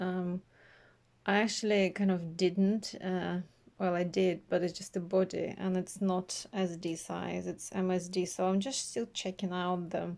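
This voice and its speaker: Soft-spoken and monotone, with flat intonation, a woman talks at a fairly slow pace in a medium pitch on a very clean recording with a silent background. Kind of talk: casual talk to camera, unboxing. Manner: quiet, soft-spoken.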